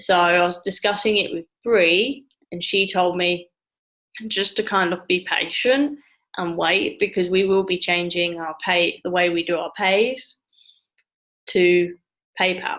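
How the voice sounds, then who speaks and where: Speaking at a fairly slow pace with long, frequent pauses, a woman with an English accent has a medium pitch and ordinary pitch variation. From England. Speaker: travel agent trainer. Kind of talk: training session via screen share. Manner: casual, halting.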